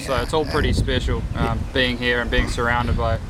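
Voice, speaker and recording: Amid noticeable background noise, a man with a New Zealand accent speaks at a moderate pace in a medium pitch. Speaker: golf course intern. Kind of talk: interview.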